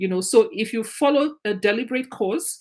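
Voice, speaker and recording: Somewhat breathy, a woman with a Nigerian accent talks at a moderate pace with lively intonation. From Nigeria (Ijaw/Izon ethnic group). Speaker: teacher trainer. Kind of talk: lecture.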